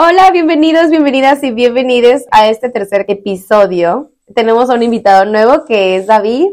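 Speaking at a moderate pace, a woman lets her pitch swing very widely. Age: 20s. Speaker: podcast host. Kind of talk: casual interview.

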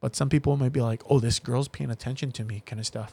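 A man speaks in a somewhat breathy voice at a fairly quick pace. The very clean recording has a silent background and a dry, close sound with no echo. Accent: Hawaiian. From Hawaii, Waianae (Oahu). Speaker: voice-over comedian and content creator. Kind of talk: casual chat.

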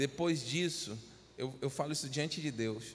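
A man's fairly high, somewhat airy voice rises and falls with lively intonation. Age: 30s. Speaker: pastor. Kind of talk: sermon.

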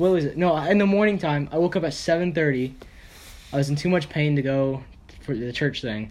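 A man talks at a fairly quick pace with ordinary pitch variation. He has a normal speaking voice. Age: 20s. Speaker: podcast host. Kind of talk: casual chat.

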